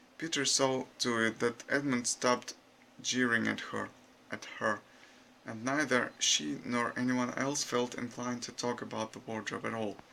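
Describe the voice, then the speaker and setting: A man with a non-native accent and fairly even intonation. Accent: non-native, unnatural intonation. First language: not English. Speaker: YouTuber. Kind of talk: reading aloud. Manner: halting.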